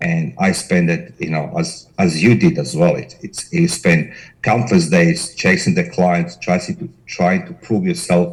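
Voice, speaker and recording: A man with a Croatian accent speaks at a fairly slow pace with hardly any pauses. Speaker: corporate investigator, company director. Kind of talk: interview.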